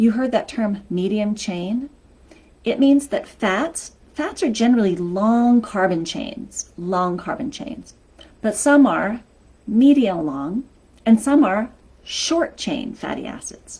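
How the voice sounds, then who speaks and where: A woman talks at a very slow pace in a somewhat breathy voice with lively intonation. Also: fairly high pitch for a woman. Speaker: health coach. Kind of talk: live stream talk. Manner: energetic.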